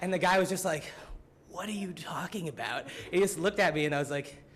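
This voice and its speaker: Against noticeable background noise, a man with an American accent talks at a fairly quick pace in an animated tone and a high pitch. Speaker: student. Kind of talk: student presentation. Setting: symposium audience. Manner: casual, filler-heavy (frequent 'like', 'um').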